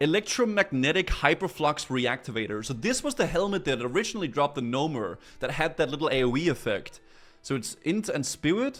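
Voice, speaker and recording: Music plays behind a man with a Danish accent who talks at a fairly quick pace. His fairly high voice moves through very wide pitch swings. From Denmark. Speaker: gaming streamer. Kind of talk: casual live stream commentary. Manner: animated, with stammering and repetitions.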